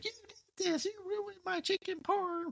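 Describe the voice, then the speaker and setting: A female-sounding, whiny put-on character voice goes at a moderate pace with an extremely high pitch. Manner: whiny, nagging.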